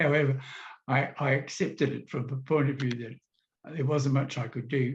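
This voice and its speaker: The voice is somewhat breathy, with monotone, flat intonation at a moderate pace. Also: man, fairly high pitch for a man. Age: 70s. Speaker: kidney disease patient. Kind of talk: interview testimony. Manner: halting.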